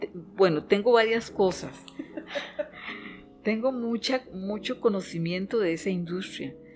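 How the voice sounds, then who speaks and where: Over music in the background, a woman speaks at a medium pitch with ordinary pitch variation and long, frequent pauses. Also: fairly slow pace. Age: 60s. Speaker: business owner in chemical industry. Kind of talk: podcast interview. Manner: halting, with many fillers.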